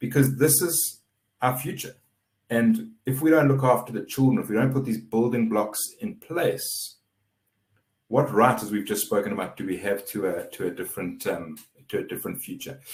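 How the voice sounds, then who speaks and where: Somewhat breathy, a man speaks with lively intonation at a moderate pace. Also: medium pitch for a man. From South Africa. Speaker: webinar moderator. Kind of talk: webinar moderation.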